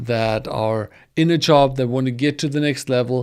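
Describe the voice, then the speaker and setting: In a very clean recording with a silent background, a man with a German accent talks at a moderate pace and a fairly high pitch. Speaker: data engineering educator. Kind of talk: livestream promo talk. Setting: livestream from home studio. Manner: halting.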